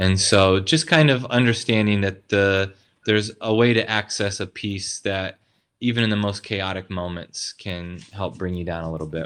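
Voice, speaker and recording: A man speaks at a moderate pace in an American accent, his pitch fairly low with ordinary variation, on a very clean recording with a silent background. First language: American Sign Language. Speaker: pastor. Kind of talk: casual interview.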